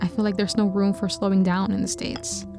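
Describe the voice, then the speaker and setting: A woman is talking fairly quickly. Behind her voice, music can be heard. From Metro Manila, Philippines. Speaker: video editor and filmmaker. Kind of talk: reflective personal vlog voiceover. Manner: soft-spoken, introspective.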